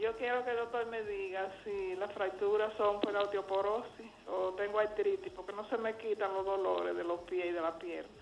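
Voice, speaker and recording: A woman talks with monotone, flat intonation and hardly any pauses over noticeable background noise. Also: medium pitch for a woman, moderate pace. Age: 80s+. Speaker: caller. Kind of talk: phone-in question.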